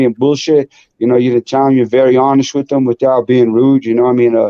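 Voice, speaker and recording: A man talks at a very fast pace. His medium-pitched voice has monotone, flat intonation. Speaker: boxing promoter and trainer. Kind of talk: casual chat. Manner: loud.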